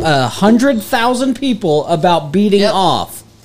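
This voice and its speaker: A man with an American accent, a high pitch, very wide pitch swings, and a fairly slow pace over noticeable background noise. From northeast Texas, Denton area. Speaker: podcast co-host. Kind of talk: casual chat.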